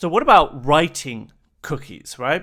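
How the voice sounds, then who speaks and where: An unremarkable speaking voice from a man, fairly high in pitch and fairly quick, on a very clean recording with a silent background. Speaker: security researcher. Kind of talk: technical explainer narration.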